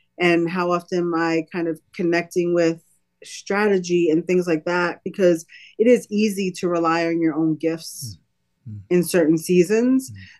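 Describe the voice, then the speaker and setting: A woman with an American accent speaks at a moderate pace and a fairly low pitch with ordinary pitch variation. She has an unremarkable speaking voice. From Brooklyn, New York City. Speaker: nonprofit executive. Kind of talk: interview.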